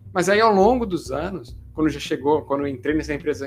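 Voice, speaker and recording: Music plays in the background as a man speaks. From Brazil, Santos (São Paulo state). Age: 20s. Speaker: career YouTuber, account manager. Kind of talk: monologue to camera, personal career story. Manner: casual, many fillers (né, é).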